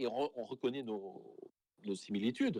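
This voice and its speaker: A man speaks at a medium pitch that varies in an ordinary way. He uses a normal speaking voice. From Saint-Pierre and Miquelon. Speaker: school principal. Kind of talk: interview.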